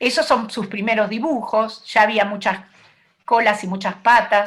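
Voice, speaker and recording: Slow-ish and measured, a woman talks with pitch that varies in an ordinary way. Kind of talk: talk at an online event.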